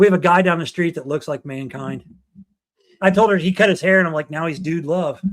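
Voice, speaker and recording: With an American accent, a man speaks in a high pitch at a fairly quick pace. His pitch varies in an ordinary way. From Ohio, Dayton area. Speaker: podcast co-host. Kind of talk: casual chat. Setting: livestream. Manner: fast.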